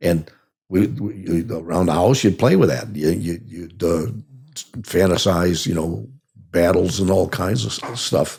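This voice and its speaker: Lively intonation colors this man's very deep, low voice. He has vocal fry and a Chicago accent. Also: fairly slow pace. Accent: Chicago-area American. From US Midwest, Oak Park near Chicago, Illinois. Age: 80s+. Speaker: army veteran. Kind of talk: interview, life story. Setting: podcast interview. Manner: halting, frequent repetitions.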